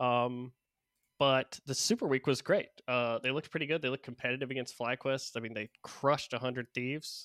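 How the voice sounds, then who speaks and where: A man's unremarkable speaking voice at medium pitch, fairly quick and fairly even in intonation, with a dry, close sound, no echo, and a very clean recording over a silent background. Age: 30s. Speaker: esports podcaster. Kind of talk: casual chat.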